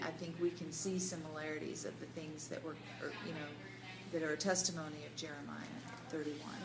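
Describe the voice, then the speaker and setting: Noticeable background noise runs under the voice. The room echo is audible. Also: woman. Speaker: Bible study group leader. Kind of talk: group discussion. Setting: cafe. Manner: loud.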